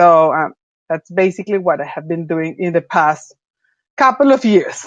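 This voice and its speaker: With a Spanish accent, a woman speaks at a moderate pace in a fairly low pitch, her intonation lively. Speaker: venture capital investor. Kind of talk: panel discussion.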